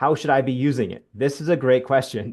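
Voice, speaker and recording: A man speaks against a quiet background. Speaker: school college and career counselor. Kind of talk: informational presentation to parents. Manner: fast; many filler words.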